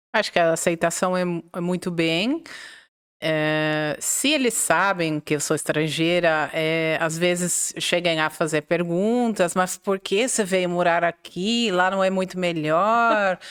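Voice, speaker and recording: A woman with a non-native accent speaks at a very slow pace in a fairly low voice with ordinary pitch variation. The recording is very clean, with a silent background. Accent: foreign accent in Portuguese. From Netherlands. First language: Dutch (speaking Portuguese). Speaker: English teacher. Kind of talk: interview. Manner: halting.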